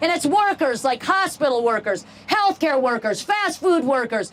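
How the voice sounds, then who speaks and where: A woman's high voice with very wide pitch swings at a moderate pace, over noticeable background noise. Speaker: political candidate. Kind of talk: campaign rally speech. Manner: animated.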